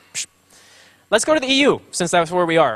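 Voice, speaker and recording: A man's high-pitched voice, bright and sharp in tone, with very wide pitch swings. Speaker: conference speaker. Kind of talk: conference talk. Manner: fast; halting, many fillers and repeats.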